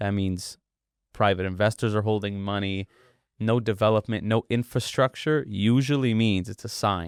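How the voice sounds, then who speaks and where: On a very clean recording with a silent background, a man in a plain, everyday voice talks at a moderate pace with fairly even intonation, the sound dry and close with no echo. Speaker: boxing event promoter. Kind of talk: podcast interview.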